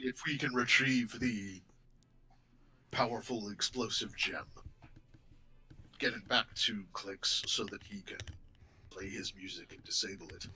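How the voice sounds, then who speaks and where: A man puts on a character voice at a fairly low pitch. He speaks at a fairly slow pace. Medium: actual play. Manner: formal, measured.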